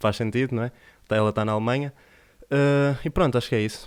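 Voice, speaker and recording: Here a man talks with a European Portuguese accent. He goes at a very fast pace with fairly even intonation. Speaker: podcast host. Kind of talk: podcast intro. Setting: studio.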